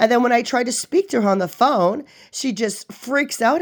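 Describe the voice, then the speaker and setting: Her pitch fairly high, a woman speaks at a moderate pace with lively intonation. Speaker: patient calling a clinic. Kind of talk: phone complaint. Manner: loud.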